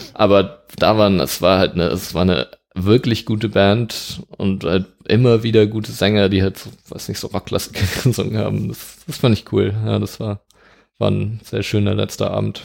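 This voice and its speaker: A man with an unremarkable speaking voice, ordinary pitch variation and a moderate pace. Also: fairly low pitch for a man. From Germany, Dortmund (Ruhr area). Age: 20s. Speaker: student and street pianist. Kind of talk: casual interview.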